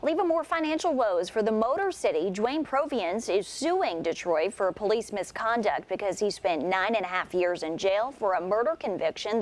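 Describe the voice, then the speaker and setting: A woman at a fairly quick pace, with very wide pitch swings over noticeable background noise. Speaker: news anchor. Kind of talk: local TV morning news anchor read.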